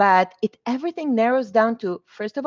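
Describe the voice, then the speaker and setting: A woman with a non-native accent, lively intonation and a moderate pace. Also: dry, close sound with no echo. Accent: foreign accent, noticeable. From Israel (born in Argentina). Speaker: mortgage loan officer and realtor. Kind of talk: interview.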